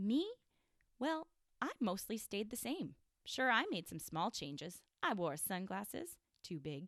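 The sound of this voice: Speaking slowly in a put-on character voice with a fairly bright tone and lively intonation, the clip is a very clean recording with a silent background and a dry, close sound with no echo. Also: woman, medium pitch for a woman.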